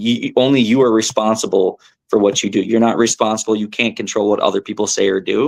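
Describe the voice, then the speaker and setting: On a very clean recording with a silent background, a man with an American accent speaks fairly quickly at medium pitch with ordinary pitch variation. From southern California. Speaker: professional tournament angler. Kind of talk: podcast interview. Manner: animated.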